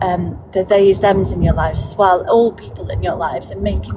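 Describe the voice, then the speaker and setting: A woman talks at an unhurried, middling speed while clear background noise carries on behind her. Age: 40s. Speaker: TikTok live participant. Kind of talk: casual chat. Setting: in a car, being driven.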